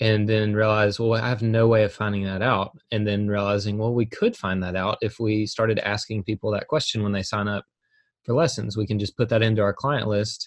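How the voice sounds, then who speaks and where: Against a quiet background, a man speaks fairly quickly at a fairly low pitch in a flat monotone. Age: 30s. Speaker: music school owner. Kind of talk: casual interview.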